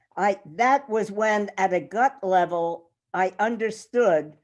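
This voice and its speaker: Speaking at a very slow pace with an American accent, a woman uses ordinary pitch variation against a quiet background. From New York. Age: 80s+. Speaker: workshop participant. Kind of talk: group discussion.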